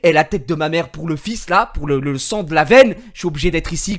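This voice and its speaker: A man with a fairly high voice talks at a very fast pace in an animated tone, his pitch varying in an ordinary way. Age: 20s. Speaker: gaming streamer. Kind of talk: casual chat. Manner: halting.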